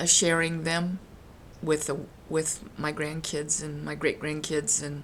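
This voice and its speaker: Speaking at a moderate pace with fairly even intonation, a woman has a very deep, low pitch. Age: 70s. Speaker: grandmother telling family memories. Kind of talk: casual personal storytelling to camera. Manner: halting, many fillers.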